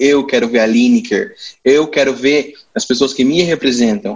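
Spoken at a moderate pace with lively intonation, this is a plain, everyday voice. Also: man. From Brazil, Campo Grande (Mato Grosso do Sul). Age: 20s. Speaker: guest discussing television. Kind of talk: casual chat.

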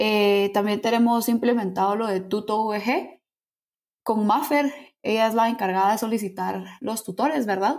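Recorded very cleanly against a silent background, a woman with an unremarkable speaking voice talks at a fairly slow pace, her fairly high pitch showing ordinary pitch variation. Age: young. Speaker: university student. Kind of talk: casual interview.

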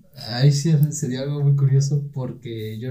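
A man speaks with a dark, mellow tone that is somewhat breathy. Audible room echo surrounds his voice. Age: 20s. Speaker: university student. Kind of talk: casual chat.

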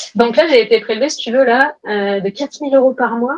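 A woman in an ordinary speaking voice, ordinary pitch variation, moderate pace. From France, Grenoble. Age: 30s. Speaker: entrepreneur. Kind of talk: interview.

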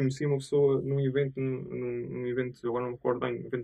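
A male speaker with a medium-pitched voice races along at a very fast rate. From Azores, Portugal. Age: 30s. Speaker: tech entrepreneur. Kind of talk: interview. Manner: hesitant, many fillers.

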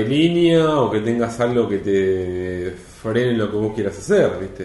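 Over noticeable background noise and audible room echo, a man speaks fairly slowly in a fairly low pitch with a Rioplatense accent. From Argentina, Mar del Plata. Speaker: film critic. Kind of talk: casual chat.

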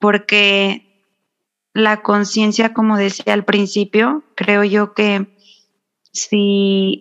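A woman speaks at a very slow pace. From Mexico, San Luis Potosí. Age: 30s. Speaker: spiritual wellness guest. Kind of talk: casual interview chat.

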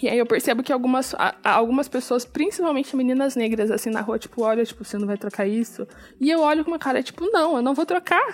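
A woman's high-pitched, very fast voice with lively intonation. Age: 20s. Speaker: podcast host. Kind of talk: casual solo podcast talk. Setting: recording at home at night.

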